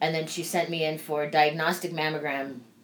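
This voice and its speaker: A woman talks at a moderate pace with a very deep, low pitch. Audible room echo and noticeable background noise surround her. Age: 40s. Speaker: podcast host. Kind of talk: casual chat.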